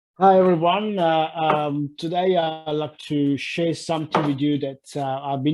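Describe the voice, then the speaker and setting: A man's voice over noticeable background noise. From Italy. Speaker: life coach. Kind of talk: talk. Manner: halting.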